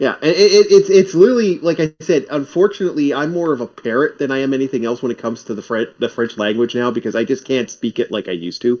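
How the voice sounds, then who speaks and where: Here is a man with an unremarkable speaking voice and a fairly high pitch. He talks fairly quickly with lively intonation. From Canada. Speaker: stream guest. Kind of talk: casual chat.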